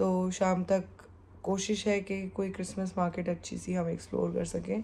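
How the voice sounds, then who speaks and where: Her tone is dark and mellow, and she sounds somewhat breathy. The woman speaks at a fairly slow pace with monotone, flat intonation. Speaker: travel vlogger. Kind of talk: travel vlog.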